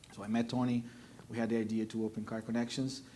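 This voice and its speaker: Speaking very fast, a man keeps to a medium pitch. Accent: Brazilian Portuguese. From Brazil. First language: Portuguese. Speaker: car dealer. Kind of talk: panel discussion.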